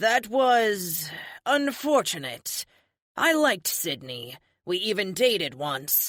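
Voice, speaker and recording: Putting on a character voice, a woman growls at a medium pitch in a raspy tone, with very wide pitch swings and a fairly slow pace. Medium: read story. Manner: snarling, blunt.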